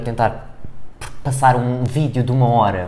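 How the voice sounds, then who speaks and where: With a European Portuguese accent, a man talks amid audible room echo. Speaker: podcast co-host. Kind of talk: casual chat.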